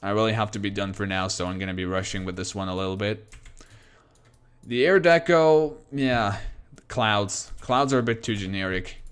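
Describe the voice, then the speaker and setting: The pace is moderate, with ordinary variation in pitch. The speaker has a non-native accent. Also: man, fairly low pitch for a man. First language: not English. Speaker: game streamer. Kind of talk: live stream commentary. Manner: halting.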